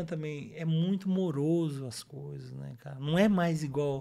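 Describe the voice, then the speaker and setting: A man at a moderate pace, dark, mellow tone and ordinary pitch variation. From São Paulo, raised from infancy (born Minas Gerais). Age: 40s. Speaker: city councillor. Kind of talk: casual interview. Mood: relaxed, smiling. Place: studio. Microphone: studio mic.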